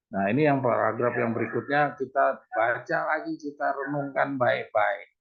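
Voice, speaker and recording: This man has an ordinary speaking voice with a fairly high pitch. He talks at a fairly slow pace. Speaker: Bible study teacher. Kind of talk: Bible study lesson over Zoom. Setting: video call.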